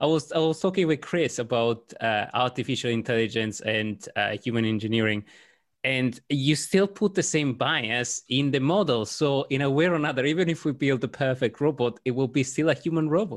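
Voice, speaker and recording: A man speaks at a moderate pace with ordinary pitch variation. His loudness stays very even. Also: medium pitch for a man. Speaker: podcast host. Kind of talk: casual interview chat. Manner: hesitant, with filler words.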